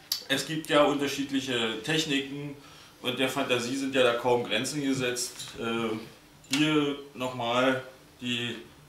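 Against light background noise and audible room echo, a man talks at a very slow pace. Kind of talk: tutorial. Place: home room. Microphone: camera far.

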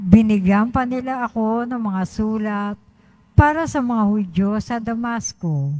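A woman speaks at a fairly slow pace with a fairly high pitch, ordinary pitch variation, and a somewhat breathy quality. Her tone is dark and mellow, and her loudness swings widely. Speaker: lector. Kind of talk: reading aloud. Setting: church.

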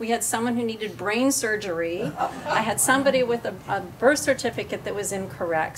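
Against noticeable background noise, a woman speaks at a fairly quick pace with lively intonation. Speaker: family advocate; speaker. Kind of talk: public panel presentation. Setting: public forum with live audience. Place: meeting room. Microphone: podium.

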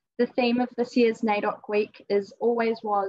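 A woman at a fairly slow pace, the background quiet. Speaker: event host introducing artist. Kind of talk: formal introduction speech. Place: hall. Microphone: video call.

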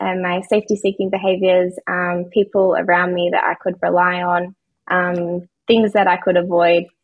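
A woman's voice with quiet surroundings. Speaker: podcast guest, coach. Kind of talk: interview answer. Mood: open, reflective. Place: home room. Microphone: video call.

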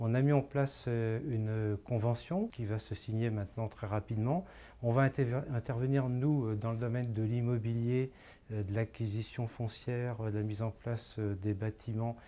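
A man's dark, mellow voice at a moderate pace with fairly even intonation. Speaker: local community council president. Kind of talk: interview answer. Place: office. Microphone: lapel.

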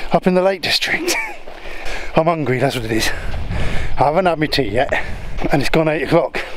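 There is light background noise as a man speaks. The sound is dry with no echo. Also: moderate pace. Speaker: wild camping vlogger. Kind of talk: casual vlog chat. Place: open country. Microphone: phone near.

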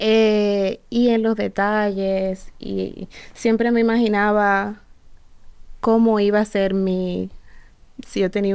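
With a quiet background behind her, a woman speaks at a very slow pace in a monotone, flat intonation. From Dominican Republic, Santo Domingo (partly Puerto Rico); Dominican Republic. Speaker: singer's daughter, former model; interview guest. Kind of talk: interview. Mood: emotional, reflective storytelling. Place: studio. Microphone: studio mic.

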